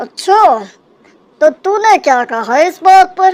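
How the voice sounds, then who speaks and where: In a cartoonish character voice, a woman speaks at an extremely high pitch with very wide pitch swings and a fairly slow pace. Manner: calm, gentle.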